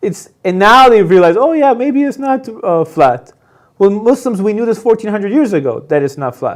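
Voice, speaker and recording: A man talks at a fairly quick pace with a slight Persian accent. His intonation is lively. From Iran. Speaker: convert telling his story. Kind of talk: interview testimony.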